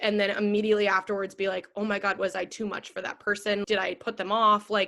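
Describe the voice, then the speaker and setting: The voice comes through loud, bright and sharp, with an energetic tone, on a very clean recording with a silent background. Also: woman. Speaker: podcast host. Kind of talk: personal monologue.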